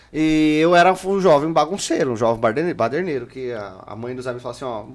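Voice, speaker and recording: A man's medium-pitched voice at a fairly quick pace, with hardly any pauses, lively intonation, big swings in loudness and noticeable background noise. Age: 30s. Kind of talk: casual chat. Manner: animated.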